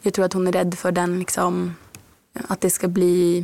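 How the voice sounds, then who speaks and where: The recording has a dry, close sound with no echo as a woman speaks at a medium pitch. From Norrbotten, northern Sweden. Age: 20s. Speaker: author. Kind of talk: interview.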